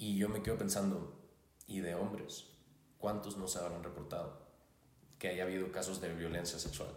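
In a room with audible echo, a man with a very deep, low voice speaks at a moderate pace in a flat monotone, pausing long and often. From Hermosillo, Sonora, Mexico. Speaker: life coach. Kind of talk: casual chat.

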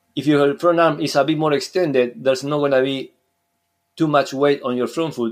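In a Spanish accent, a man speaks at a fairly high pitch and a fairly quick pace. His pitch variation is ordinary, and the recording is very clean with a silent background. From Uruguay. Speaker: surf skate coach. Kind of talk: casual interview.

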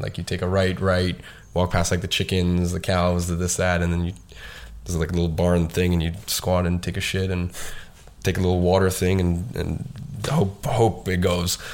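Here a man speaks with a very deep, low pitch. His intonation stays fairly even. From Dagestan, Russia. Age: 20s. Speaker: agency founder and social media marketing entrepreneur. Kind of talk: casual podcast interview.

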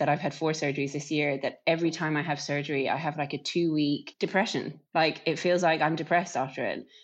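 A woman's very deep, low voice in an Irish accent, monotone and flat, over a quiet background. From Ireland. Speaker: professional cyclist. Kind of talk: interview.

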